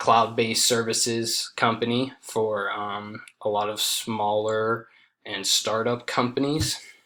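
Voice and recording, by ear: A man at a slow pace with a fairly bright tone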